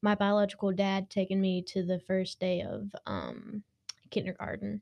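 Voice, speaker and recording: A woman in an ordinary speaking voice at a fairly slow pace, the sound dry and close with no echo. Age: young. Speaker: former foster youth. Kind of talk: testimony.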